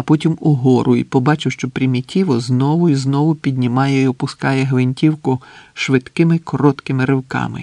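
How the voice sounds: The reading voice sounds natural, its intonation fairly even.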